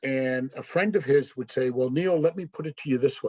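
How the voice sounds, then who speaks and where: With a Canadian Maritime accent, a man talks at a moderate pace with ordinary pitch variation, captured in a very clean recording with a silent background. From Canada, Nova Scotia (Yarmouth). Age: 60s. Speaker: service club member. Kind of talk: personal talk to club. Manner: casual, halting with fillers.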